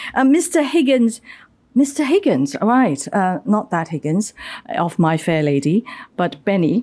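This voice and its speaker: The pitch swings very widely against a quiet background. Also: woman. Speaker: panel moderator. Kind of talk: panel moderation. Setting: stage with audience. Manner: formal. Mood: light humour. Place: hall. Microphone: podium.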